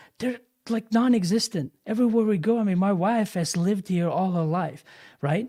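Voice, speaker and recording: A man speaks with a Bosnian accent in a high voice. His tone is dark and mellow, on a very clean recording with a silent background. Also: ordinary pitch variation, moderate pace. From Bosnia and Germany. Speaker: live stream host. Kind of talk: casual chat.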